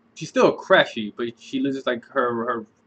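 At a moderate pace, a man is talking. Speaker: reaction video host. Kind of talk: casual vlog chat. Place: home room. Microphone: webcam.

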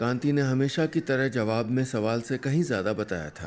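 With ordinary pitch movement, the words are read out loud in a natural voice.

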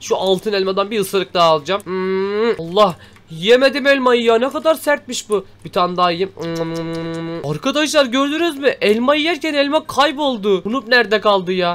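The man's voice sits high for a man. It rises and falls very widely as he goes at a moderate clip. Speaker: gaming YouTuber. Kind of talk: let's play commentary. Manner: animated.

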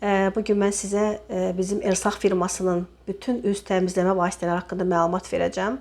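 A woman speaks at a moderate pace and medium pitch in a monotone with flat intonation. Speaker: cosmetics sales representative. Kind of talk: product demonstration sales pitch. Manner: hesitant with frequent filler sounds.

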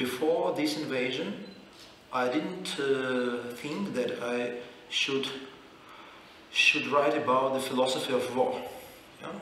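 The voice moves at a very slow pace with long, frequent pauses, audible room echo and light background noise. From Ukraine. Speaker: philosopher. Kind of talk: panel discussion. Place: hall.

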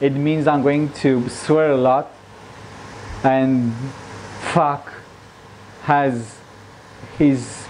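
A man's very slow speech over light background noise. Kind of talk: casual cooking vlog chat. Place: kitchen. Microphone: lapel.

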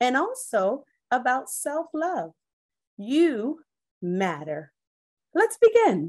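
A woman speaks at a very slow pace in a high pitch. Her pitch swings very widely, over a quiet background. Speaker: teacher reading aloud. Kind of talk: story time read-aloud to children. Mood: warm, encouraging. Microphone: phone near.

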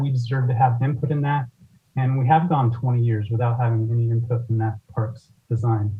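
A man with a medium-pitched, somewhat breathy voice speaks at a moderate pace in a flat monotone. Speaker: public commenter at council meeting. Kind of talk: public comment. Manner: halting, many fillers.

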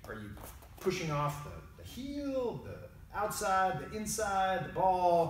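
A man speaks at a high pitch. The room echo is audible, and there is light background noise. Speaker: martial arts instructor. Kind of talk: tutorial. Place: gym. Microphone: camera far.

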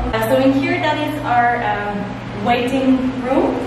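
Strong room echo and noticeable background noise surround a woman talking in a high voice. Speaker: tour guide. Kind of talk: guided tour explanation. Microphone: phone near.

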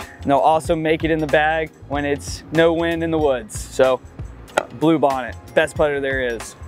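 Clear music plays in the background while a man speaks at a moderate pace. His pitch varies in an ordinary way, and the sound is dry with no echo. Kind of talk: product walkthrough to camera. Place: open country.

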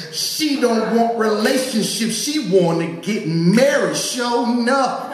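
In a room with audible echo, a man speaks at a very slow pace with an extremely high pitch and ordinary pitch variation. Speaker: poet. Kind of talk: spoken-word poem performance with audience call-and-response. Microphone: handheld.

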